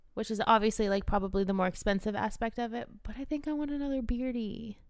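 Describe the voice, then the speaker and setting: A woman speaks fairly quickly in an ordinary speaking voice. Her pitch is fairly high, with ordinary pitch variation. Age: 30s. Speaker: podcast co-host. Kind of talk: casual chat.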